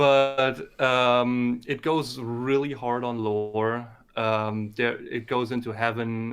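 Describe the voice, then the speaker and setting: A man with a German accent speaks in a flat monotone. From Germany. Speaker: community member promoting his series. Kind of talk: casual chat. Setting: live stream. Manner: halting.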